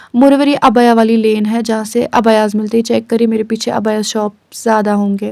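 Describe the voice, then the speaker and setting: Speaking at a moderate pace with hardly any pauses, a woman with a fairly high pitch keeps a monotone, flat intonation and a dark, mellow tone. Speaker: vlogger. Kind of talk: vlog voice-over narration. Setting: recorded voice-over. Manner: casual, code-switching with English.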